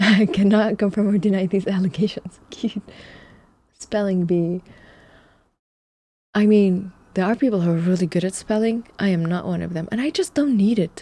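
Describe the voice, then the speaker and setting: A woman with a dark, mellow tone and a somewhat breathy, medium-pitched voice speaks at a moderate pace with ordinary pitch variation and long, frequent pauses. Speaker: streamer. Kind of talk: casual live stream chat.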